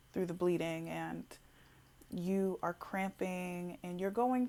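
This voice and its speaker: Her voice sits at a medium pitch, the woman's intonation staying fairly even. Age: 20s. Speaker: tarot reader. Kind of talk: tarot reading. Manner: halting.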